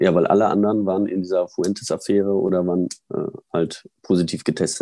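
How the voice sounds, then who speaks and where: The voice has a dark, mellow tone, moving at a fairly quick pace with fairly even intonation. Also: man. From Germany, Münster (Westphalia). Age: 40s. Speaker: former pro cyclist and cycling pundit. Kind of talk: interview.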